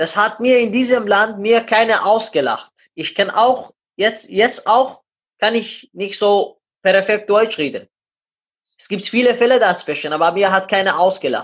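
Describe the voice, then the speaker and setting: With a Persian accent, a man speaks at a fairly slow pace in a high pitch, with ordinary pitch variation. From Iran. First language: Persian (speaking German). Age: 20s. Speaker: amateur runner and glazier. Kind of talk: interview.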